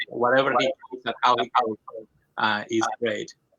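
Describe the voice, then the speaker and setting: A man with a bright, sharp tone talks at a moderate pace in a dry, close sound with no echo. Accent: Colombian. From Colombia. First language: Spanish. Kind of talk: interview testimony. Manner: halting, many fillers.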